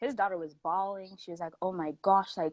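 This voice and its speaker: In a Canadian accent, a woman speaks at a very fast pace with a fairly low pitch. The recording is very clean with a silent background and a dry, close sound with no echo. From South Africa, raised in Canada from age six. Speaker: guest sharing personal experience. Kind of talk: casual chat. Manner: animated.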